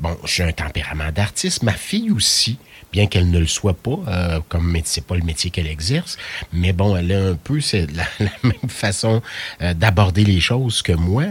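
The voice is somewhat breathy, with ordinary variation in pitch. It moves at a moderate pace. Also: man, very deep, low pitch for a man. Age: 50s. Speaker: radio host. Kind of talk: radio interview.

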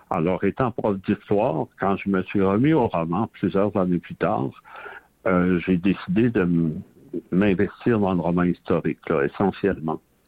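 With a Quebec accent and a very deep, low pitch, a man speaks at a fairly slow pace, keeping very even loudness and ordinary pitch variation. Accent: Québécois French. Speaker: novelist and retired history professor. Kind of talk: radio interview.

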